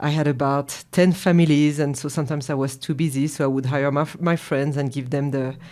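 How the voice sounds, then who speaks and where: In a very clean recording with a silent background, a speaker with a French accent talks at a very fast pace in a dark, mellow tone, with monotone, flat intonation. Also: woman, very deep, low pitch for a woman. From France. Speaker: chef and business owner. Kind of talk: interview. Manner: hesitant, with fillers.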